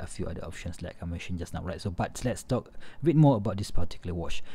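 A man speaks with a medium pitch and a dark, mellow, somewhat breathy tone. The recording is very clean, with a silent background. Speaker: watch reviewer. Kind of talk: product review video. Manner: enthusiastic.

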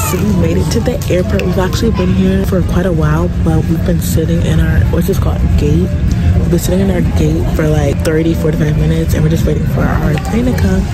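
Over music in the background, a woman speaks at a fairly quick pace with ordinary pitch variation in a dry sound with no echo. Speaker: vlogger. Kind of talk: casual vlog chat. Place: station. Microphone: phone near.

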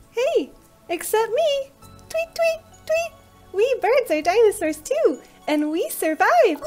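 An extremely high-pitched, put-on character voice moves at a fairly slow pace. Faint music plays in the background. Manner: chirpy, cheerful.

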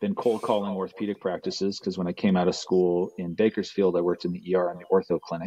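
The delivery is monotone and flat against a quiet background. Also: man. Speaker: remote podcast guest. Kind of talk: interview answer. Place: office. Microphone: video call.

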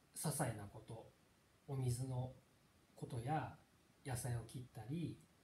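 At a very slow pace and with long, frequent pauses, a man speaks in a dark, mellow, somewhat breathy voice at medium pitch with fairly even intonation, amid light background noise and audible room echo. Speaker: Buddhist teacher. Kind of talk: lecture. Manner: halting. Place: home room. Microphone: camera far.

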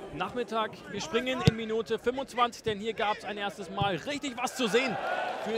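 An animated, upbeat tone at a moderate pace, with ordinary pitch variation and noticeable background noise. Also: man. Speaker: football commentator. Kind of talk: live-style football match commentary over highlights, recapping chances and goals. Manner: animated, urgent bursts on chances ("Tempo! Tempo!"), otherwise fluent and upbeat.

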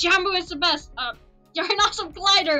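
Using a put-on character voice with an extremely high pitch and a bright, sharp tone, a woman speaks at a fairly quick pace over faint music in the background.

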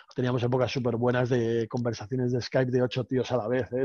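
A man at a fairly quick pace, dry sound with no echo, quiet background. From Spain. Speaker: professional poker player; guest. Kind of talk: casual chat. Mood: relaxed, anecdotal. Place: home room. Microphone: headset.

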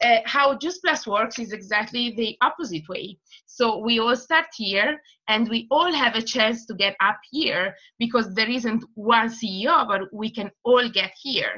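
A woman's fairly high, bright, sharp voice in an Italian accent, at a fairly slow pace with ordinary pitch variation, over a quiet background. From Italy. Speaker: makeup artist and distributor; presenter. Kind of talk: testimony. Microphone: video call.

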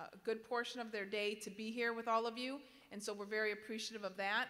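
Her tone bright and sharp, a woman speaks in a monotone, flat way. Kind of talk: address to students. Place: hall. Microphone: podium.

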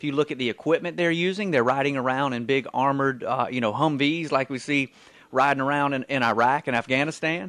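A man with an American accent at a very fast pace, fairly high pitched with ordinary pitch variation, in a dry sound with no echo over a quiet background. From US South. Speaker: radio co-host and writer; radio co-host. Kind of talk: talk radio call-in show. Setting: radio studio. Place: studio.

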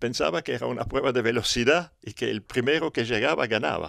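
At a moderate pace, a man speaks with very wide pitch swings, the sound dry with no echo and the background quiet. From Europe. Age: 70s. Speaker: motocross pioneer and organizer. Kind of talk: interview. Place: home room. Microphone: handheld.

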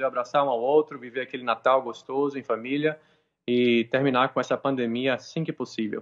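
This man talks at a moderate speed, with a quiet background behind him. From Salvador, Bahia, Brazil. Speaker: nurse. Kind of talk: live interview. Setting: video call. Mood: hopeful, earnest. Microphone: video call.

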